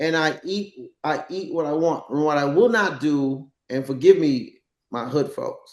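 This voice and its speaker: A man with a fairly high voice talks at a fairly slow pace, his intonation lively. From New York, the Bronx. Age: 60s. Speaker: dancer and actor. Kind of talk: casual chat.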